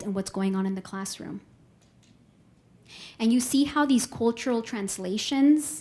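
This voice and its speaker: Somewhat breathy, a woman with a Spanish accent speaks with long, frequent pauses. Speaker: professor. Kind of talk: lecture.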